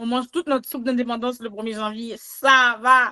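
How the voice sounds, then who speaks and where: The recording has a dry, close sound with no echo. A woman is speaking at a fairly slow pace. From Quebec, Montreal, Haitian family. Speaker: podcast guest. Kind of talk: casual chat. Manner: animated.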